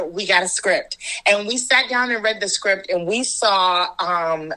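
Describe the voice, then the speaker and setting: A woman speaks with lively intonation. Background noise is noticeable. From Washington, DC, USA. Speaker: actor, director and storyteller. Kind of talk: interview answer.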